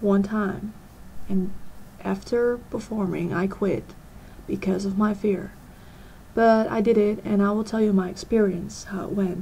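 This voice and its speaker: A woman with a somewhat breathy, dark, mellow voice speaks at a fairly slow pace in a monotone, flat way. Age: 20s. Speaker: vlogger. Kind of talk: personal vlog. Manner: hesitant.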